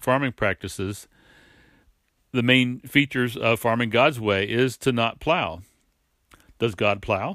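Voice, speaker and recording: A man speaks at a moderate pace with a medium pitch. The sound is dry and close, with no echo. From southeastern Pennsylvania. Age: 60s. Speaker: podcast co-host, farmer. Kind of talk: devotional talk.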